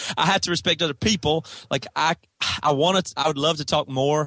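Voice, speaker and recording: A man with an American accent talks at a fairly quick pace in a plain, everyday voice with ordinary pitch variation. The sound is dry and close, with no echo. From US South, South Carolina. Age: 30s. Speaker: rock band guitarist. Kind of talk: casual chat.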